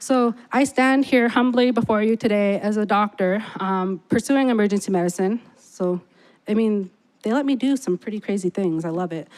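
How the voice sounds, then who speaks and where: The speech proceeds at a moderate pace. It comes in an ordinary speaking voice. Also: woman, fairly high pitch for a woman, ordinary pitch variation. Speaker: emergency medicine doctor, speaker. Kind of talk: speech to audience.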